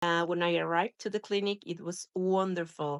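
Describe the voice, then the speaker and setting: Recorded dry and close with no echo, a woman talks at a moderate pace. She has a Spanish accent. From Mexico. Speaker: spinal cord injury survivor and patient representative. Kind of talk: testimony. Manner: halting, with frequent fillers and restarts.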